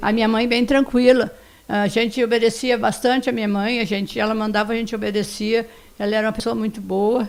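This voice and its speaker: A woman at a fairly high pitch and fairly quick pace, with monotone, flat intonation. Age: 70s. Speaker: podcast guest, host's grandmother. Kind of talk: casual interview, life story. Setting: at the host's home.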